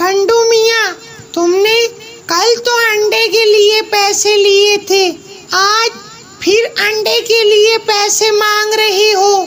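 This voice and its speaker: A cartoonish character voice talks at a very slow pace with monotone, flat intonation over clear background noise. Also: woman, extremely high pitch for a woman. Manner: sarcastic, sharp.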